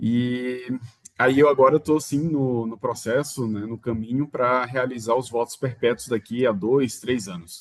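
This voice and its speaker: A man's medium-pitched voice, fairly slow in pace, with fairly even intonation. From Maranhão, northeastern Brazil. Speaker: religious brother. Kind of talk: interview. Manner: halting, with fillers.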